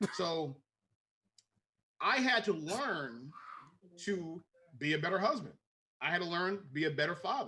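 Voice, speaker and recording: With a bright, sharp tone and high pitch, a man speaks at a moderate pace with lively intonation, very even loudness, and long, frequent pauses. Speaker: podcast co-host. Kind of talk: casual chat.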